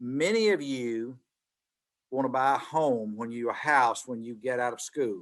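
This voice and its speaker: Fairly slowly, a man speaks in a Southern US accent. His medium pitch shows ordinary variation. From Mississippi, US South. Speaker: business executive, guest speaker. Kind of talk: guest lecture. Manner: repetitive stammering starts.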